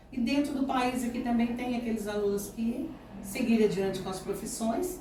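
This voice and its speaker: A woman's high voice, with ordinary pitch variation, comes through audible room echo and noticeable background noise. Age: 60s. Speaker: schoolteacher. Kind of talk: interview.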